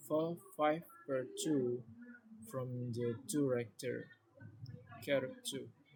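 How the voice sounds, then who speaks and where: Very slow speech in an Indonesian accent with ordinary pitch variation. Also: man. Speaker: student explaining a project. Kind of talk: tutorial. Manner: halting.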